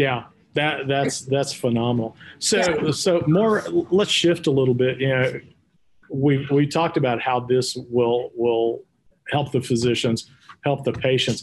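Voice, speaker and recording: A man with a Texas accent talks at a fairly slow pace with very even loudness. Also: medium pitch for a man, ordinary pitch variation. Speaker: podcast host. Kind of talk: interview. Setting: studio.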